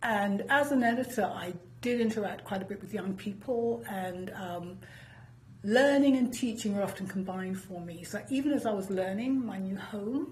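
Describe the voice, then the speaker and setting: A woman with a British accent speaks at a moderate pace and medium pitch, with ordinary pitch variation and audible room echo. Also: big swings in loudness. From United Kingdom. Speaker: professor, former journalist. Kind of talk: interview. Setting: studio.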